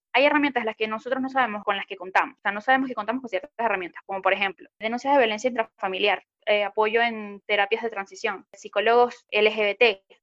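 Her pace is very fast. The woman keeps her intonation fairly even. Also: fairly high pitch for a woman, hardly any pauses. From Venezuela. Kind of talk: interview.

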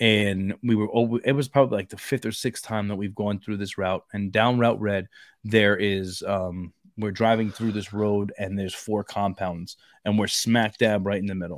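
A moderate pace on a very clean recording, dry and close with no echo, the background silent. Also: man, fairly low pitch for a man. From Brooklyn, New York. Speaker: podcast host. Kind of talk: casual chat. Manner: animated.

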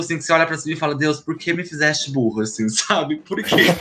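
With music in the background, a man talks very fast at a fairly high pitch. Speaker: podcast co-host. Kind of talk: casual chat.

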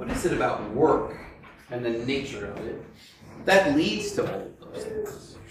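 Noticeable background noise runs behind this recording. A man talks at a fairly slow pace. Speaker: church discussion leader. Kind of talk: teaching discussion. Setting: in-person gathering with families. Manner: informal and conversational.

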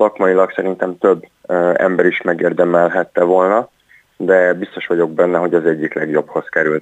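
A man speaks at a moderate pace in a very deep, low pitch, his intonation monotone and flat, with a dry, close sound and no echo. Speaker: ice hockey coach. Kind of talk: phone interview. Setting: phone call. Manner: halting, repeats words.

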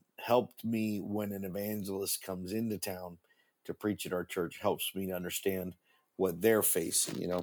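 A man with a plain, everyday voice, fairly low in pitch, at a moderate pace, in a very clean recording with a silent background. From Argentina (American missionary kid, born in Oregon). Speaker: pastor and radio host. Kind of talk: interview.

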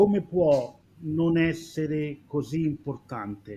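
A man's fairly high voice, somewhat breathy and dark and mellow in tone, with ordinary pitch variation. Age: 40s. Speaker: former receptionist, hotel professional. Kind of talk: live-streamed panel discussion.

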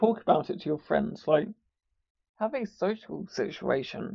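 A man speaks with a slightly husky edge and vocal fry.

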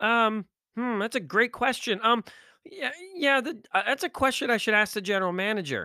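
In a raised, projected voice with a bright, sharp tone, a man speaks at an extremely high pitch, the sound dry and close with no echo. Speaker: podcast host, motivational speaker. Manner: loud, fast, high-energy, animated hype; exasperated, sarcastic, and worked-up during the rant.

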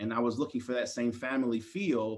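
With an American accent, a man speaks at a fairly quick pace and medium pitch in a plain, everyday voice, showing ordinary pitch variation. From Maryland, US. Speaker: university diversity dean. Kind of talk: interview.

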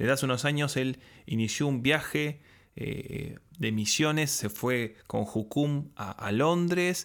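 On a very clean recording with a silent background, a man uses a plain, everyday voice with lively intonation. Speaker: podcast host. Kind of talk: interview.

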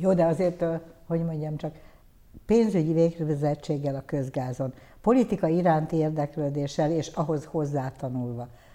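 The tone is dark and mellow, with ordinary pitch variation and a moderate pace, on a very clean recording with a silent background. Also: woman, very deep, low pitch for a woman. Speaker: tv interviewer. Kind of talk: interview. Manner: formal.

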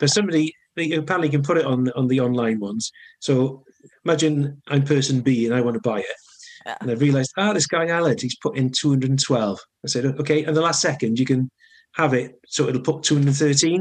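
Talking fairly quickly, a man with a fairly high voice speaks with a strong Welsh accent. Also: ordinary pitch variation. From north Wales, now lives in Cardiff. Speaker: songwriter musician. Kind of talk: casual interview chat.

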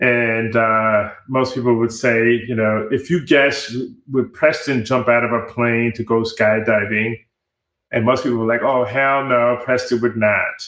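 With an American accent, a man talks at a medium pitch and a fairly slow pace in a monotone, flat intonation. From New York (Bronx and Rockland County suburbs). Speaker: tech startup accelerator founder. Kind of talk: interview.

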